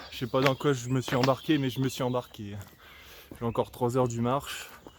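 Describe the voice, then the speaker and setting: Over noticeable background noise, a man speaks at medium pitch and a fairly quick pace with monotone, flat intonation. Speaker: vlogger. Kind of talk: casual vlog monologue. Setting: outdoors, walking by a road. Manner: hesitant, many fillers.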